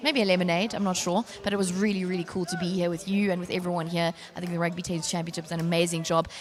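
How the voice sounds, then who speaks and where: A fairly low-pitched woman at a very fast pace, with fairly even intonation and noticeable background noise. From South Africa. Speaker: rugby commentator. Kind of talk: live sports broadcast sign-off. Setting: outdoor stadium.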